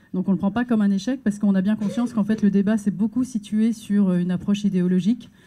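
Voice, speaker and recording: A woman speaks very fast in a somewhat breathy voice with a dark, mellow tone and fairly even intonation. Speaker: NGO advocacy worker. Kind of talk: round-table presentation. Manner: hesitant, many fillers.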